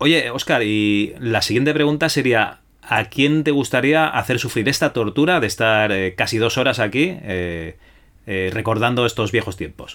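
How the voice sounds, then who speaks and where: The man has an unremarkable speaking voice with ordinary pitch variation and talks at a fairly slow pace. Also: medium pitch for a man. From Spain, Barcelona. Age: middle-aged. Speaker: podcast host. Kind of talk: interview.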